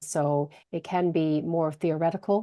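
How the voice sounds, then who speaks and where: This woman speaks with a fairly low pitch and a dark, mellow tone. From British Canadian. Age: middle-aged. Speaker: HR consultant and career coach. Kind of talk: podcast interview.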